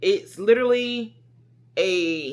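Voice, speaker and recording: An animated woman's voice with lively intonation, in a very clean recording with a silent background. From US South. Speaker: vlogger. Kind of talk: casual vlog talk. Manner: loud.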